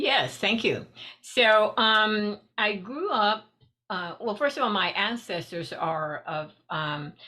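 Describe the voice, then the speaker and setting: Delivered at a very slow pace with an American accent, the voice has a bright, sharp tone and lively intonation. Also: woman, fairly high pitch for a woman. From Texas (Houston). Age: 60s. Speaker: shamanic practitioner. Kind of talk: interview. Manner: hesitant, many fillers.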